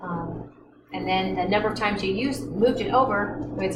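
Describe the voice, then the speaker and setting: A woman speaks at a fairly quick pace. There is audible room echo and noticeable background noise. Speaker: chemistry instructor. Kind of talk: lecture. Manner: fast.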